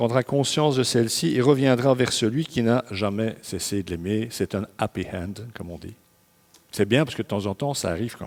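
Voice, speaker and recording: In an ordinary speaking voice, a man of medium pitch talks at a moderate pace with ordinary pitch variation and big swings in loudness. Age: 60s. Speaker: pastor. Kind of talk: sermon. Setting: church service. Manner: conversational, informal asides.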